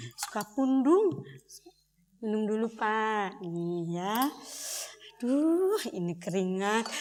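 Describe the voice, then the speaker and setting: A woman talks at a very slow pace with long, frequent pauses and very wide pitch swings. Her fairly high pitch carries audible room echo. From Indonesia, Bandung (West Java). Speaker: theatre performer. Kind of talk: documentary theatre performance. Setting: stage with audience.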